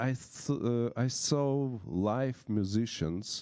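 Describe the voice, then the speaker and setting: A man's dark, mellow tone in a very clean recording with a silent background. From Belarus. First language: Belarusian or Russian. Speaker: violinist. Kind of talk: testimony. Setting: church. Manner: halting.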